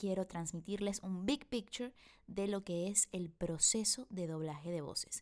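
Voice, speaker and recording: A woman speaks in a plain, everyday voice. Her pace is fairly slow, with ordinary pitch variation. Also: medium pitch for a woman. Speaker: voice actor. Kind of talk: online voice acting masterclass lecture. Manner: upbeat.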